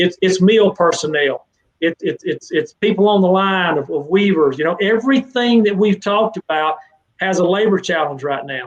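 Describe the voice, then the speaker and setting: The speaker has a Southern US accent, a moderate pace and ordinary pitch variation. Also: man, high pitch for a man. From Mississippi, US South. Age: 60s. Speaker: fencing trade association director. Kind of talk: live interview Q&A. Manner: animated.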